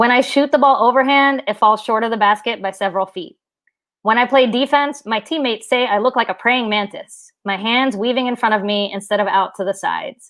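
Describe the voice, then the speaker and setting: A woman speaks at a fairly quick pace with an American accent, in a normal speaking voice. The background is quiet. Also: fairly high pitch for a woman, ordinary pitch variation. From southern West Virginia. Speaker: writer and middle school teacher. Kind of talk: reading aloud. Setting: live stream.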